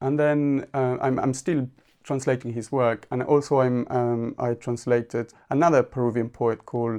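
With an Argentine accent, a man speaks at a moderate pace and medium pitch, his tone dark and mellow and his intonation fairly even. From Argentina. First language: Spanish. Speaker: poet. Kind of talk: interview conversation. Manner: halting.

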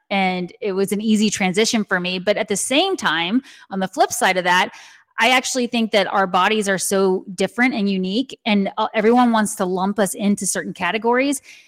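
A woman with an American accent at a medium pitch, fairly quick, with ordinary pitch variation and a dry, close sound with no echo. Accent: slight Texan, can switch to Southern. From Texas. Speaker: intuitive, Reiki master and author. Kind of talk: casual podcast interview. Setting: video call.

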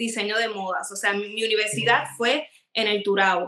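A woman with a fairly high pitch and ordinary pitch variation talks in an unremarkable speaking voice. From Puerto Rico. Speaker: celebrity fashion stylist. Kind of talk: casual interview.

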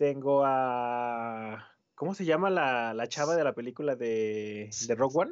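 Over a quiet background, a man with a Mexican accent talks at a very slow pace and a medium pitch. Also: ordinary pitch variation, hardly any pauses. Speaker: podcast co-host. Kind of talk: casual chat.

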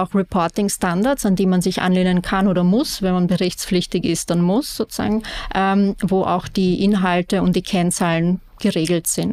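A woman talks at a moderate pace in an ordinary speaking voice, her pitch medium. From Austria, Vienna. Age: 30s. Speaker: real estate sustainability manager. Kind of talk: interview.

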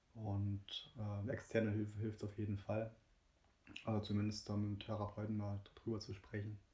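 Moderate-paced, monotone speech from a man with a fairly low pitch, broken by long, frequent pauses. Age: 20s. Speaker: guest sharing experience of depression. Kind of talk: personal testimony interview.

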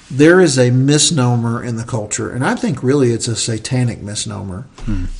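A man's medium-pitched voice with an Appalachian accent, moderate in pace with ordinary pitch variation, over noticeable background noise. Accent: Southern Appalachian American. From US South, Southern Appalachia. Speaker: podcast host, church leader. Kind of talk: casual chat.

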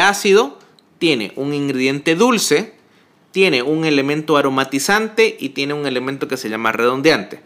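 A man's fairly high, bright and sharp voice at a moderate pace, with lively intonation. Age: 20s. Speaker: bartender. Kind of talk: casual interview. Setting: in person, recorded together.

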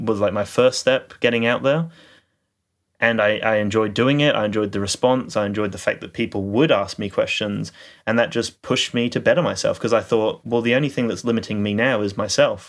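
On a very clean recording with a silent background, a man speaks in a normal speaking voice at medium pitch and moderate pace, his intonation fairly even. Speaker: podcast co-host. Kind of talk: casual chat.

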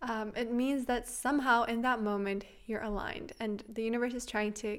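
Delivered at a moderate pace, the speech has a non-native accent and a monotone, flat intonation. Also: woman. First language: not English. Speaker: podcast host. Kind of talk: casual monologue. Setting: home, on couch. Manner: chatty.

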